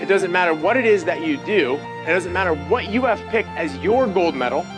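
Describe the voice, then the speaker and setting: A man keeps a moderate pace while music sounds in the background. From United States. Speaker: Olympic BMX champion and motivational speaker. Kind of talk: motivational keynote speech.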